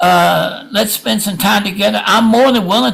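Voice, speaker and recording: A man speaks at a moderate pace. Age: 70s. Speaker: public commenter at transit board meeting. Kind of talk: public comment. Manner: halting, many repetitions and fillers.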